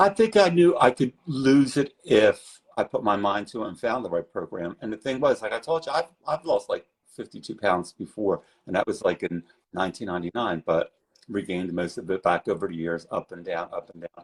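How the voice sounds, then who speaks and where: The man talks at a fairly quick pace with big swings in loudness, the sound dry and close with no echo. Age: 60s. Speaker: former fitness client. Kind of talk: interview testimony.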